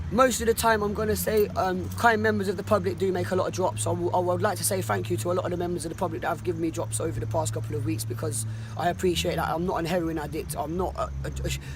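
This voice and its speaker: A man with a Cockney accent rattles on at a very fast pace with hardly any pauses, music in the background and audible room echo around him. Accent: Cockney London English. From London (Cockney). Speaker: homeless man interviewed. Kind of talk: street interview. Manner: halting, many repetitions; quiet, calm.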